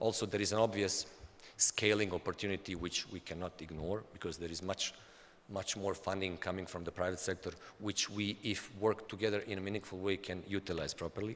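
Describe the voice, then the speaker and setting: A man with a Bosnian accent talks at a fairly quick pace and fairly low pitch, his intonation monotone and flat. The recording is very clean, with a silent background. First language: Bosnian/Serbian. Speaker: development agency official. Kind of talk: conference talk. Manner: halting, with frequent repetitions.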